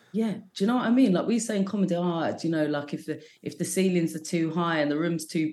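With a London accent, a woman speaks very fast at a very deep, low pitch, her intonation lively. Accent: London English with some American words. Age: 40s. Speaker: comedian. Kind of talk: casual chat.

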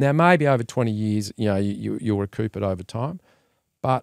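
The speech moves at a fairly quick pace. The sound is dry and close with no echo, in a very clean recording with a silent background. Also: man. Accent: Australian. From Australia, Melbourne. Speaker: entrepreneur and investor. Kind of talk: interview.

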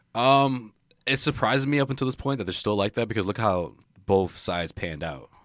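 On a very clean recording with a silent background, a man speaks in a normal speaking voice at a medium pitch. His pace is fairly quick and his intonation lively. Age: 30s. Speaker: sports beat writer. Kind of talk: casual chat. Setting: studio.

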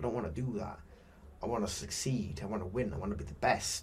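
A man speaks with a British accent. His voice has vocal fry. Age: young. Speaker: professional boxer. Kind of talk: interview. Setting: studio.

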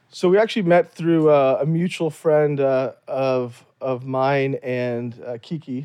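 Speaking with an American accent in an ordinary speaking voice, a man uses a fairly high pitch, ordinary pitch variation and a fairly slow pace with hardly any pauses. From US South, Louisiana. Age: 40s. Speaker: doctor, anesthesiologist. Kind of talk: casual interview.

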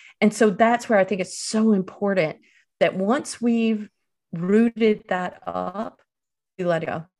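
Someone with an Eastern North Carolina accent speaks at a fairly slow pace with fairly even intonation. The recording is very clean, its background silent. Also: woman, medium pitch for a woman. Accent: Southern US (Eastern North Carolina). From Eastern North Carolina, US South. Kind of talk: interview.

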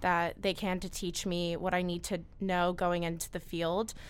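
In a very clean recording with a silent background, a woman with an American accent speaks at a moderate pace and medium pitch. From New Jersey, Mahwah. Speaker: university student. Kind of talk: interview.

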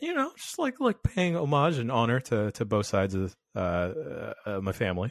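This man talks at a moderate pace with hardly any pauses, his pitch swinging very widely in a dry, close sound with no echo. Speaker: podcast guest. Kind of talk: casual chat.

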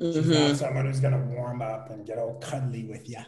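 The voice has a dark, mellow tone and is somewhat breathy, with audible room echo. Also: man. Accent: American. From New York, Queens. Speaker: entertainment journalist. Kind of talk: casual chat.

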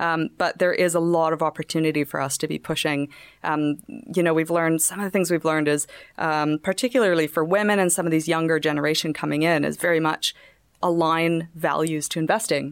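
In a very clean recording with a silent background and a dry, close sound with no echo, a woman has an unremarkable speaking voice, fairly low in pitch, with a Canadian accent, fairly even intonation and a fairly quick pace. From Canada. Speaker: fintech startup co-founder. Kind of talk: casual interview.

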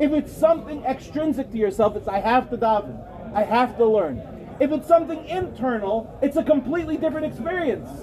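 Crowd noise fills the background as a man speaks. His pace is fairly quick and his intonation lively. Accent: American. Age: 40s. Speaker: rabbi. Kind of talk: lecture.

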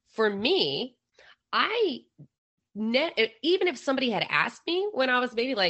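A woman with an American accent, vocal fry, and very wide pitch swings. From Philadelphia, US. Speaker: former extremist and deradicalization advocate. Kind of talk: casual interview conversation. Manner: casual, laughing.

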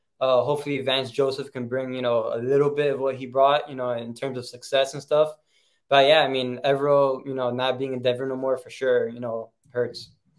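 Fairly quick in pace, a man with an American accent speaks at medium pitch in a monotone, flat intonation. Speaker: sports podcast co-host. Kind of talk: casual sports discussion podcast.

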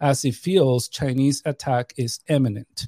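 A man speaks fairly slowly in a fairly high voice with a dark, mellow tone. The recording is very clean with a silent background and a dry, close sound without echo. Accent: American. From New York. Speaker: expat father and podcast guest. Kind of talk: casual chat.

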